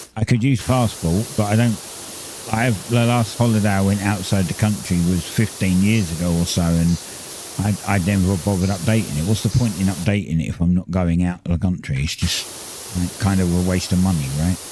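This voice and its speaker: A man with a British accent talks at a fairly quick pace, his pitch very deep and low with ordinary variation. Noticeable background noise runs underneath. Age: 50s. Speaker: gaming livestreamer. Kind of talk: casual chat. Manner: halting.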